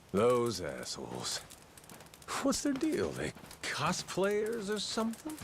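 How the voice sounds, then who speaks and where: A gruff, put-on character voice from a man at a fairly slow pace, with long, frequent pauses and clear background noise. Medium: video game. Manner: gruff, casual, swearing.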